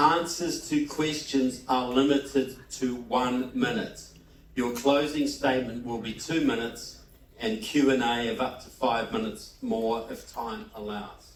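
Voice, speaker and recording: A man with a New Zealand accent at medium pitch, fairly slow in pace, with ordinary pitch variation, big swings in loudness and audible room echo. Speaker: debate moderator. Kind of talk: debate moderation.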